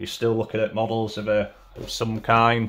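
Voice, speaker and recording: A man speaks at a moderate pace in a flat monotone over light background noise. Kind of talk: casual vlog chat. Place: home room.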